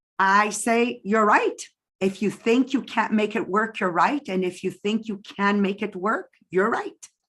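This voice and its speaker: A woman with a Quebec accent, fairly high-pitched, speaking at a fairly slow pace. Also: fairly even intonation. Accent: French-Canadian accent in English. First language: French. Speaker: direct sales business leader. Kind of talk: interview.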